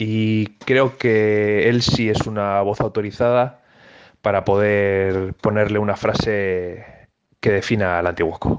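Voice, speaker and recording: Very slow and monotone, a man speaks at a fairly low pitch with flat intonation and very even loudness. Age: 30s. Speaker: futsal player and coach. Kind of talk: interview. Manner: hesitant, many fillers.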